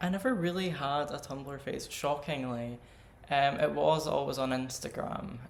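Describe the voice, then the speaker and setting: A man with a Scottish accent, moderate pace, ordinary pitch variation and audible room echo. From Scottish Highlands. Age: 20s. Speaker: drag artist. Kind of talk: casual interview.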